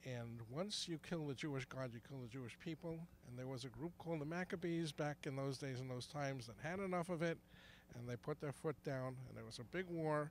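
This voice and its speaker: A man talks at a fairly quick pace, his pitch fairly high and his pitch variation ordinary. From New York, Brooklyn. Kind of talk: street interview. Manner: halting, many restarts.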